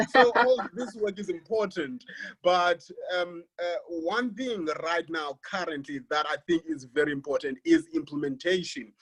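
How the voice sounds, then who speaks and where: This man has a high voice and a South African accent. His intonation is lively and his pace fairly slow. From South Africa, Xhosa-speaking village. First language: isiXhosa. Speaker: academic. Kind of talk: panel presentation. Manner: halting, many repetitions.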